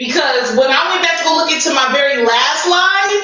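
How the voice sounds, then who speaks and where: A woman speaks loudly. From US Midwest. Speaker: YouTube live streamer. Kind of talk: casual livestream chat. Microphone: sounds far away and echoey, too loud.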